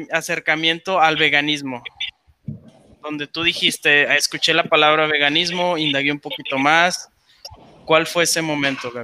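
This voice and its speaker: A man's fairly high, monotone, flat delivery at a moderate pace with long, frequent pauses. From Mexico, La Laguna (Torreón). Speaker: podcast co-host. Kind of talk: casual interview.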